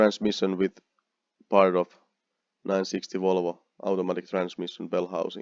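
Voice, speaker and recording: Recorded with a dry, close sound and no echo, a man with a Finnish accent speaks at a very deep, low pitch. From Finland. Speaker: car builder vlogger. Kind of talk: narrated slide show. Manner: halting.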